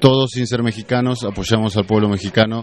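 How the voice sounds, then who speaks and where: This man has a plain, everyday voice, pitched fairly low, with fairly even intonation. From Argentina. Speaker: activist. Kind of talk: interview answers.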